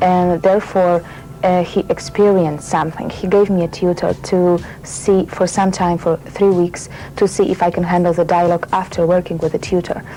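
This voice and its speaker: There is noticeable background noise as a woman speaks in a Polish accent. Her fairly low voice stays monotone and flat in intonation. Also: moderate pace. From Poland. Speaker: actress. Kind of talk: interview. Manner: halting.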